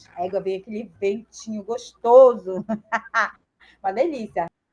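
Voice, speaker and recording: Her tone dark and mellow, a woman speaks at a moderate pace with a fairly high pitch. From Belém, northern Brazil. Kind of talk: casual, conversational.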